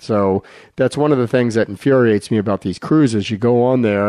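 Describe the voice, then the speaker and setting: In an unremarkable speaking voice, the speaker goes at a moderate pace with ordinary pitch variation. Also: man. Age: 60s. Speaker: physician and radio health show co-host. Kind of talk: casual chat. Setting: radio studio.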